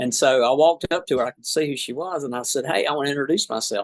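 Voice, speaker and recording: A man talks at a very fast pace with a strong South Georgia accent and a fairly high pitch. His pitch varies in an ordinary way, and the sound is dry and close with no echo. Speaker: trial lawyer. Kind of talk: podcast interview.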